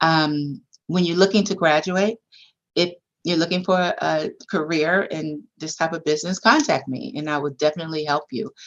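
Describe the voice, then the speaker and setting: A woman speaks at a moderate pace with a fairly low pitch and ordinary pitch variation. It is a plain, everyday voice over a quiet background. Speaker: campus president. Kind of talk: panel presentation.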